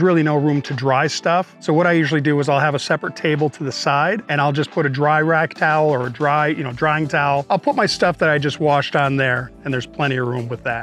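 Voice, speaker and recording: A man's fairly even intonation with hardly any pauses, a dry sound with no echo and faint music in the background. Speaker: camper owner vlogger. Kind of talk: tutorial. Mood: friendly, relaxed. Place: street. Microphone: lapel.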